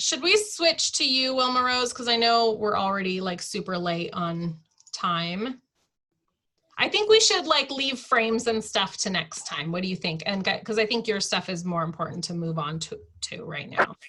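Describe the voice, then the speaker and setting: Her voice is fairly high and her intonation lively. This woman has an unremarkable speaking voice and keeps a moderate pace. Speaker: online team leader teaching design tool. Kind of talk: tutorial.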